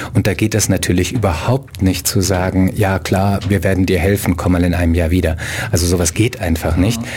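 Over noticeable background noise, the speech moves at a fairly quick pace with fairly even intonation and very even loudness. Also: man, very deep, low pitch for a man. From abroad, outside Germany. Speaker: writer and human rights activist. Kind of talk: radio interview.

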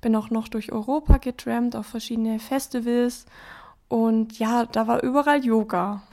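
Recorded very cleanly against a silent background, a woman with a fairly high pitch speaks at a fairly slow pace, her dark, mellow tone paired with fairly even intonation. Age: 20s. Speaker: yoga teacher. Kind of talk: interview. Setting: living room at home.

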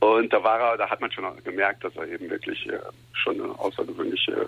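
With noticeable background noise behind him, a man speaks with long, frequent pauses. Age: 50s. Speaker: tournament founder and former police officer. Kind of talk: radio interview. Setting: phone call. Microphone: phone line.

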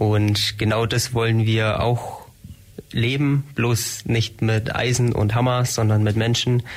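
A man with a medium pitch speaks at a very slow pace, in a monotone, flat intonation and very even loudness. Noticeable background noise is present. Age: 20s. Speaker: engineering student, shared-house resident. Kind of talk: radio interview. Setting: radio studio.

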